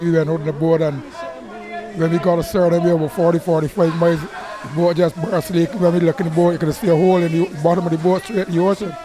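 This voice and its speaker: A man's high voice with a Barbadian accent, monotone and flat at a very fast pace, with crowd noise in the background. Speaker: fisherman. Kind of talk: interview answer.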